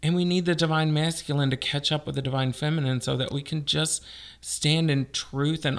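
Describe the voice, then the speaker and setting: An ordinary speaking voice with an American accent, fairly even intonation and a moderate pace, on a very clean recording with a silent background. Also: man. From Texas. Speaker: transgender stand-up comedian. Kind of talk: casual chat.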